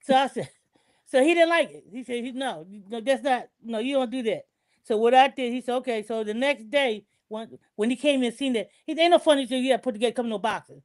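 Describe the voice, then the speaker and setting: Very fast and animated, a woman speaks with a high pitch and ordinary pitch variation. Her loudness swings widely. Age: 70s. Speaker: online show host. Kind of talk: personal testimony in group chat. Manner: animated, repetitive storytelling.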